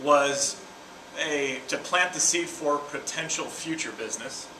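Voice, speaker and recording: There is audible room echo and noticeable background noise as a man speaks at a fairly high pitch. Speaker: sales presenter. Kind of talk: sales pitch.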